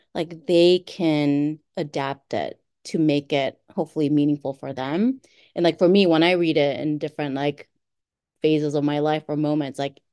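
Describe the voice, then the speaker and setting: Over a quiet background, a woman with a very deep, low pitch and a dark, mellow tone talks at a moderate pace with fairly even intonation, the sound dry and close with no echo. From Korea. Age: 40s. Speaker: writer. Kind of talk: casual interview conversation.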